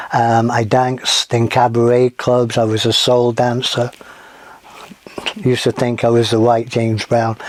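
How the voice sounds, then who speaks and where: A man speaks at medium pitch with an American accent, in a monotone, flat intonation at a fairly slow pace. Loudness stays very even, with noticeable background noise. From northern England, Manchester. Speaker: podcast host. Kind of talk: casual podcast introduction. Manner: casual with frequent fillers.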